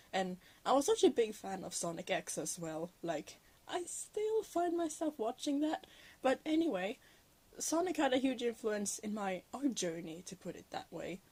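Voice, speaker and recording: In a Norwegian accent, a woman talks at a high pitch, her voice making very wide pitch swings and big swings in loudness. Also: moderate pace. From Norway. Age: 19. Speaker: digital artist. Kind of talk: voiceover chat. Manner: halting, many filler words.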